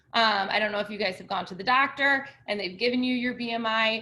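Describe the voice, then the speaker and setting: A woman at a fairly quick pace, fairly high in pitch, with fairly even intonation. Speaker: college instructor. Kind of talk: lecture. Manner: fast.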